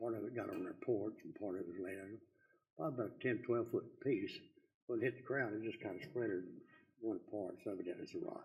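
A man with a Texan accent talks at a very fast pace. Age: 80s+. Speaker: citizen speaker. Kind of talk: public comment at council meeting. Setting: city council meeting.

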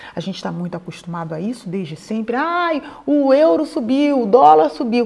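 A woman speaks at a moderate pace in a dark, mellow tone. Her pitch swings very widely over a quiet background. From Brazil. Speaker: YouTuber advising emigrants. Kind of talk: explainer to camera.

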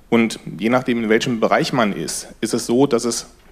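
A man is speaking. His pace is moderate. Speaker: audience member. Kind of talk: audience comment. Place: hall. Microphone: headset.

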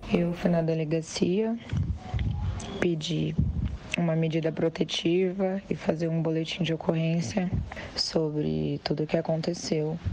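Long, frequent pauses break up a woman's fairly slow speech, its loudness very even and its intonation fairly even. Her pitch is fairly low, with light background noise behind her. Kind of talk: personal statement in a voice message. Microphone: phone near.

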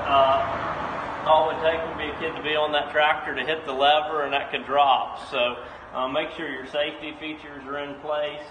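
Speaking in a flat monotone with hardly any pauses, a man is heard against noticeable background noise. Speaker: presenter. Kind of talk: tutorial. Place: garage. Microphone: phone near.

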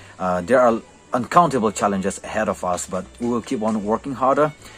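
Faint music plays behind a man with a fairly low pitch. His pitch varies in an ordinary way. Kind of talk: interview answer. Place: classroom. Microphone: phone near.

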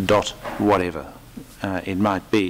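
At a fairly slow pace, a man says his lines. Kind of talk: press conference statement. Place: hall. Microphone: podium.

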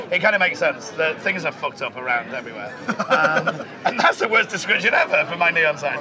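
Background noise is noticeable. The speech runs at a very fast pace. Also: man. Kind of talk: interview answer. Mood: jokey, enthusiastic, swears often. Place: bar.

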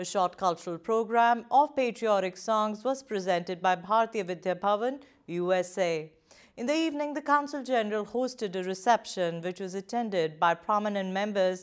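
The background is quiet. A woman speaks at a moderate pace. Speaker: news presenter. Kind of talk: news reading. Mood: calm, formal. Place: studio.

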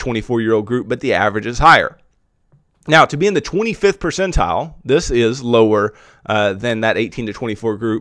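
At a moderate pace, a man with a medium pitch speaks with lively intonation, the sound dry with no echo and the background quiet. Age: 20s. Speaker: personal finance podcast host; personal finance host. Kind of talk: solo educational monologue; educational podcast talk. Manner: frequent filler words (uh, um). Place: home room. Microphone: studio mic.

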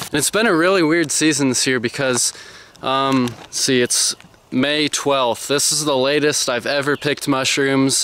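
A man at a fairly slow pace, with very even loudness, fairly even intonation, dry sound with no echo, and light background noise. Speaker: outdoors vlogger. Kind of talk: casual vlog chat. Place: forest. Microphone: phone near.

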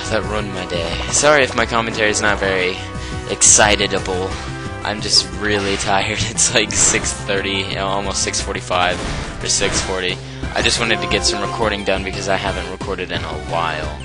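Loud music plays in the background as a man talks. His moderate pace comes through dry, with no echo. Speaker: gaming commentator. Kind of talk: let's play commentary.

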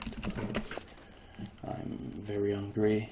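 Soft-spoken and fairly low in pitch, a man talks at a very slow pace over light background noise. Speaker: gamer. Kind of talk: casual gameplay commentary. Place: home room.

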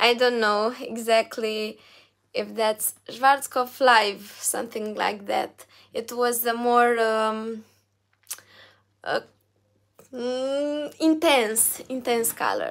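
A woman with a Romanian accent speaks very slowly in a fairly high pitch, her intonation fairly even, with long, frequent pauses and a quiet background. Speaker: singer and YouTuber; YouTuber. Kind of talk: live stream Q&A reading chat. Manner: halting, many fillers. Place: home room. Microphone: phone near.

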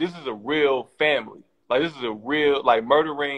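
Against a quiet background, a man with a fairly high pitch speaks at a moderate pace with fairly even intonation. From Oakland, California. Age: 30s. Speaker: documentary director. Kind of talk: casual interview. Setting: video call. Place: home room. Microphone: video call.

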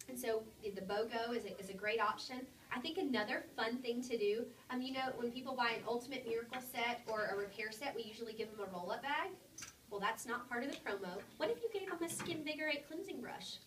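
A woman races along at a very fast pace in a high pitch with ordinary pitch variation, heard with audible room echo and light background noise. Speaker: sales team leader. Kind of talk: sales meeting presentation. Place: meeting room. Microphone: camera far.

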